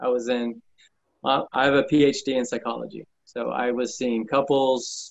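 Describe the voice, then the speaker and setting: Here a man speaks with an American accent. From California. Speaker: roofing contractor. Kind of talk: interview.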